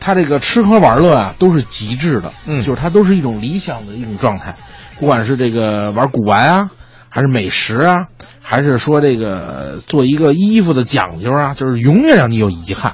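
Amid noticeable background noise, a man with a medium pitch talks at a moderate pace with very wide pitch swings. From Beijing. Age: young. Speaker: crosstalk comedian. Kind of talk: casual chat.

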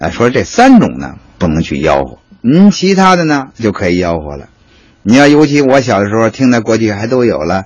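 A man with a Beijing accent at a moderate pace. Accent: Beijing Mandarin. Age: 50s. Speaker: hutong tour guide. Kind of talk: guided tour talk.

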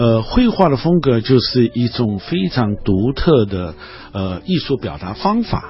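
Over noticeable background noise, a man speaks at a fairly slow pace with very wide pitch swings. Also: medium pitch for a man. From Shanghai, China. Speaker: art professor and painter. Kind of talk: radio interview. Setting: radio studio. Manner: halting with many filler sounds.

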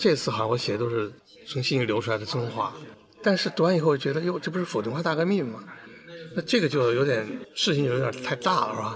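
There is noticeable background noise behind this man. He talks fairly quickly with lively intonation. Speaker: author. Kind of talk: interview recollection.

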